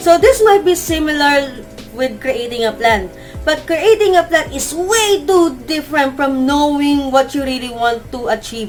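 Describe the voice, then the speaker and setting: Over music in the background, a woman mumbles at a moderate pace in a high pitch with very wide pitch swings. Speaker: teacher. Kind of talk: casual talk to camera. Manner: mumbling.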